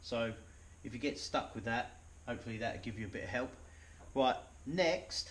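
Somewhat breathy, a man's voice moves at a moderate pace with ordinary pitch variation. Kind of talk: tutorial. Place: garage. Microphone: camera far.

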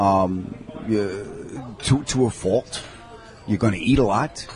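Over light background noise, a man with a New York accent speaks at a fairly low pitch with ordinary pitch variation, the sound dry with no echo. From New York (Long Island). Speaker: comedian. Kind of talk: casual interview chat. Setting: in a deli. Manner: animated. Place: cafe.

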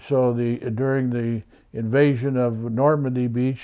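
A man's intonation stays monotone and flat, and the background is quiet. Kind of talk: interview answer. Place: office.

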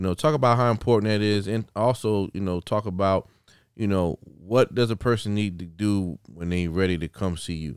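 With a South Carolina accent, a man speaks at a moderate pace and fairly low pitch, recorded dry with no echo against a quiet background. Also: ordinary pitch variation. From Sumter, South Carolina. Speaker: podcast host. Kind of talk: casual interview. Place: studio. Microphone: studio mic.

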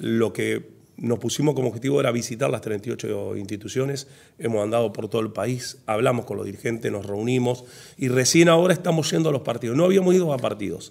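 A man talks at a fairly quick pace with lively intonation. Vocal fry runs through his voice. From Argentina, Santa Fe province (Humberto Primo area); Santa Fe, Argentina. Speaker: football federation president; guest. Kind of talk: casual interview. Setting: in-person conversation over coffee. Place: studio. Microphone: studio mic.

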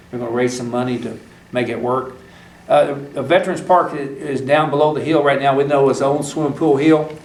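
Amid noticeable background noise and audible room echo, a man talks at a fairly quick pace in a fairly high voice with fairly even intonation. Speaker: county judge chairing fiscal court meeting. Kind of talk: public meeting. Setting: courtroom. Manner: halting.

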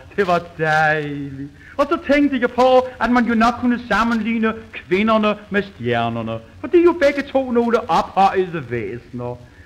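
Noticeable background noise runs behind a man with a high pitch. He talks at a fairly slow pace, his pitch swinging very widely. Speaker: comedian. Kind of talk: comic monologue. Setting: old gramophone recording.

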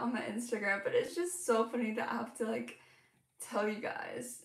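The background is quiet, though the room echo is audible. A woman speaks at a high pitch with ordinary pitch variation. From Hong Kong. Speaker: crochet content creator. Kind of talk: casual livestream chat. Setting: home livestream. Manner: animated. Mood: amused, about to share story. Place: home room. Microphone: phone near.

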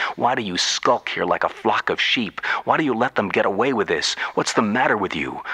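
Noticeable background noise behind a man's fairly quick delivery. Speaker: radio storyteller. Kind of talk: radio monologue.

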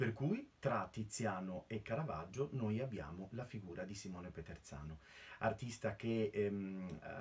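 Speaking at a fairly slow pace, a man with a fairly low pitch sounds somewhat breathy and uses ordinary pitch variation. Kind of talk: lecture. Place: home room. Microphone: webcam.

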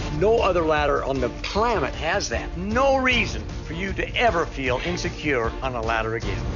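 With music in the background, a man speaks in an enthusiastic tone at a moderate pace, hardly pausing. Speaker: infomercial pitchman. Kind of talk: TV commercial read.

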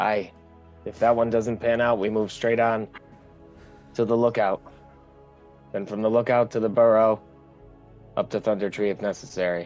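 Over faint music in the background, a man puts on a gruff character voice at a medium pitch and a moderate pace. His delivery is flat and monotone, with long, frequent pauses. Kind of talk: tabletop roleplay in character. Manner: gruff, blunt, says "aye".

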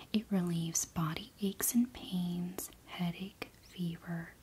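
A woman whispers in a gentle tone. She speaks very slowly. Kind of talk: soft personal-attention role-play chat. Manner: soft-spoken, gentle ASMR voice. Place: home room.

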